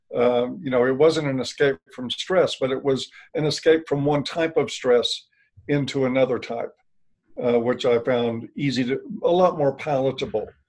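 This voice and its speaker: At a moderate pace, a man speaks in a normal speaking voice at medium pitch with ordinary pitch variation. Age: 60s. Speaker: author and former counselor. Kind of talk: interview.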